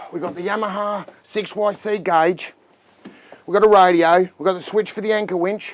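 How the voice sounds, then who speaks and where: An animated tone in an Australian accent. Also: man, high pitch for a man. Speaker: boat dealer. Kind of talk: product review walkthrough. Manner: fast.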